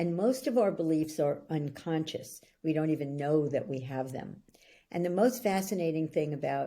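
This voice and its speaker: With a New York accent, a woman speaks in a very deep, low pitch, her tone dark and mellow and her intonation lively. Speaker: belief-change coach. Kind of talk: interview.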